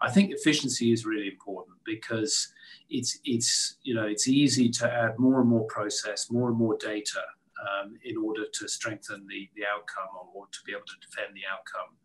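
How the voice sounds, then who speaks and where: Speaking with a British accent, a man talks at a moderate pace. His loudness swings widely. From UK. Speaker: gas industry executive. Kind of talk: panel discussion.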